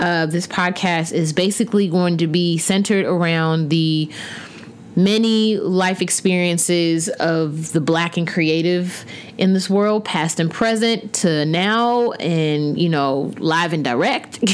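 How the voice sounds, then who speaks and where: A woman speaks very slowly at a fairly low pitch, with ordinary pitch variation. Her loudness stays very even over noticeable background noise. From US South, Huntsville, Alabama. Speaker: podcast host, visual artist and art teacher. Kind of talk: casual monologue. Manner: animated.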